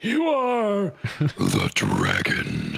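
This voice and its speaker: A man performs a put-on character voice. It reaches an extremely high pitch. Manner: sudden, dramatic.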